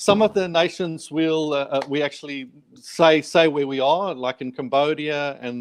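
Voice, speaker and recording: A man with a South African accent, fairly high in pitch, with fairly even intonation and a dry, close sound with no echo. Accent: South African, permanent. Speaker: charity worker. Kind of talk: interview. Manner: halting, many repetitions.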